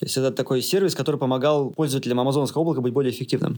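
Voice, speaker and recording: This man's voice is fairly high. The way his pitch varies is ordinary. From Russia. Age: 30s. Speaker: IT product manager. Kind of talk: interview.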